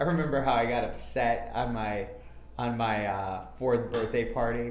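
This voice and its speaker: A man with an American accent speaks at a fairly slow pace. Noticeable background noise and audible room echo are present. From Minnesota, suburbs of Minneapolis. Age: 30s. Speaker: MMA fighter. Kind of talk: interview. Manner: casual, hesitant with fillers.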